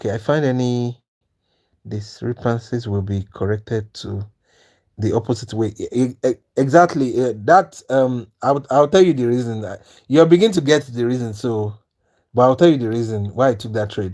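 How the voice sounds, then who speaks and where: A man's dark, mellow voice at medium pitch, with ordinary pitch variation. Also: moderate pace. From Nigeria. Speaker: trading teacher, live streamer. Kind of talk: live stream trading tutorial. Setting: live stream. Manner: repetitive, halting with false starts.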